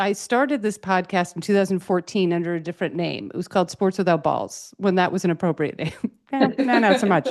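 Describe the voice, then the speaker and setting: A woman of medium pitch speaks at a very fast pace in an animated tone with ordinary pitch variation. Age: 50s. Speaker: comedian and podcast host. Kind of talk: casual interview chat.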